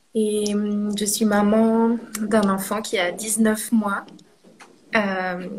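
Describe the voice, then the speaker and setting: The delivery is very slow and monotone, with flat intonation and long, frequent pauses. Noticeable background noise runs underneath. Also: woman, medium pitch for a woman. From Normandy, France. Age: 30s. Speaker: doula, guest telling birth story. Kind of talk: testimony. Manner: hesitant with fillers.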